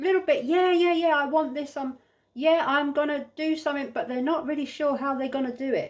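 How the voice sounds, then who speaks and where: A woman speaks loudly at a high pitch. Her tone is animated and her pace fairly quick. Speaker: tarot reader. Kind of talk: tarot reading.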